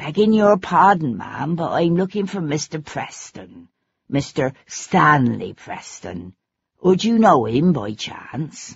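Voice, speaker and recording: In a put-on character voice, the speaker sounds raspy at a middle pitch and talks at a fairly slow pace. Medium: read story. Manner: humble, eager, rambling.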